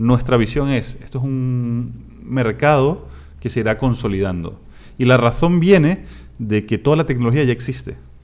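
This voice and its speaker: A Latin American accent at a moderate pace, with ordinary pitch variation. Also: man, medium pitch for a man. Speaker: startup founder and CEO. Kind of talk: interview.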